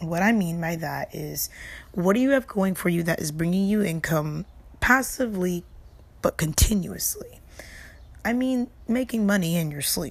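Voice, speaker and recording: Using a plain, everyday voice, a woman speaks at medium pitch and a moderate pace with lively intonation. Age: 20s. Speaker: streamer and podcast host. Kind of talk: casual solo podcast talk. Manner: casual and conversational.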